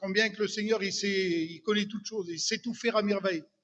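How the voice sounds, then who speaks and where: A man speaks at a high pitch and a fairly quick pace. His intonation stays fairly even. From Brittany, France. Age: 60s. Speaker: churchgoer giving testimony. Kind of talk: testimony. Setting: church. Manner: hesitant, many fillers.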